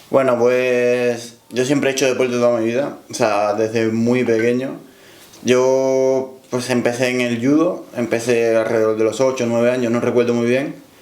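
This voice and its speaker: Amid noticeable background noise and audible room echo, a man speaks at a moderate pace and medium pitch in a monotone, flat intonation. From Cuba. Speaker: powerlifter. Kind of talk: interview.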